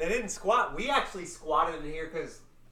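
Against noticeable background noise, a man speaks at a fairly high pitch with lively intonation. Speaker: podcast co-host. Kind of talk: casual chat over beers.

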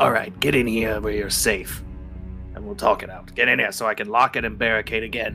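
A man uses a put-on character voice at a fairly quick pace, with big swings in loudness. Clear music plays behind him. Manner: haughty, curt, contemptuous.

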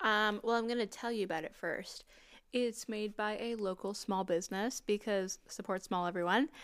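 A woman with an unremarkable speaking voice talks at a moderate pace and a fairly high pitch. The recording is very clean with a silent background. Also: fairly even intonation. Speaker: podcast co-host. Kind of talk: casual chat.

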